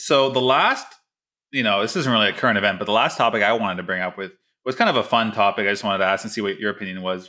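In a very clean recording with a silent background, a man with a fairly low pitch and a bright, sharp tone talks at a very fast pace with fairly even intonation. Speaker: oral surgery resident podcast host. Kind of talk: casual chat.

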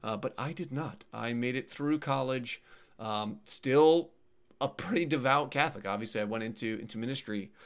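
The recording is very clean, the background silent, and a man speaks at a moderate pace. He has an ordinary speaking voice with a medium pitch and ordinary pitch variation. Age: 30s. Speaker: YouTuber discussing atheism. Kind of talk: casual interview.

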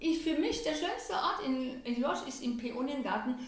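A high-pitched woman's voice at a moderate pace, lively in intonation, with audible room echo and noticeable background noise. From Germany, Lorsch (southern Hesse). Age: 60s. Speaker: head of a municipal culture office. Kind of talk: interview.

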